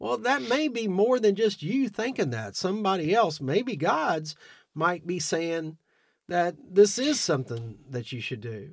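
At a fairly slow pace, a man speaks in a high pitch with very wide pitch swings. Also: very clean recording, silent background. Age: 50s. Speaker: fundraiser organizer, former stockbroker. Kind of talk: interview storytelling. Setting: studio. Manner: chatty, with frequent fillers.

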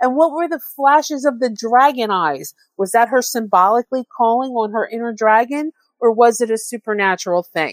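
Dry and close with no echo, a woman with an unremarkable speaking voice talks at a moderate pace in a fairly high pitch and with lively intonation. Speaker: listener leaving voicemail.

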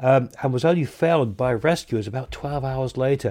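A man with a southern English accent speaks at a medium pitch. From southern England. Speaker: radio host. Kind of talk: radio astronomy show. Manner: halting, many fillers.

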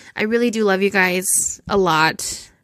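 A woman talks at medium pitch in a normal speaking voice. Her intonation is fairly even. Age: 20s. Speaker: solo podcast host. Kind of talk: casual monologue.

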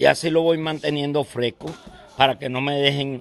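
A man speaks with music in the background. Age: 60s. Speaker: boxing trainer. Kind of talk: interview. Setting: boxing gym. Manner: halting.

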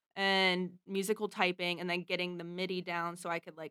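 A woman with an American accent speaks at a moderate pace and a fairly low pitch, in a monotone with flat intonation. Her tone is bright and sharp, and the sound is dry and close with no echo. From US, Pittsburgh, Pennsylvania. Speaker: singer-songwriter and keyboard player. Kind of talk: casual interview chat.

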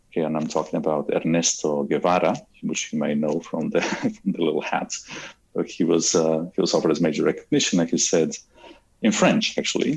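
A man speaks with an Argentine accent. His pace is fairly quick. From Argentina. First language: Spanish. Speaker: cosmologist and university professor. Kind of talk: interview.

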